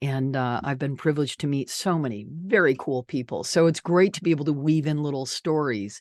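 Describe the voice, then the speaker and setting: A woman with a very deep, low pitch talks at a fairly quick pace with hardly any pauses. Her pitch varies in an ordinary way, and the background is quiet. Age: 60s. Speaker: podcast host, radio broadcaster. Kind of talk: casual interview chat. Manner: animated.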